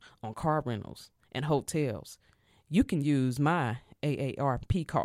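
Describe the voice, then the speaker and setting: The recording is very clean, its background silent. An American accent is heard. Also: woman. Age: 50s. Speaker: podcast host. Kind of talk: motivational monologue.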